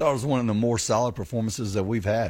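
Very fast and somewhat breathy, a man speaks in a dark, mellow tone. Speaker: college football head coach. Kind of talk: pregame radio interview.

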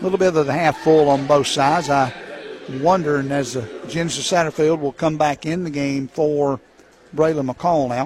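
Noticeable background noise runs under a man's voice. He speaks fairly high with fairly even intonation. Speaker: color commentator and game announcer. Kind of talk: live play-by-play sports commentary. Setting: courtside at a high school gym broadcast. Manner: rapid-fire, clipped play-by-play delivery, rattling off names and scores.

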